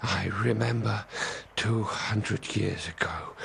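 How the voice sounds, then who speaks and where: A man puts on a character voice with a fairly low pitch. He goes at a fairly slow pace over clear background noise. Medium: machinima. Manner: chatty, deadpan.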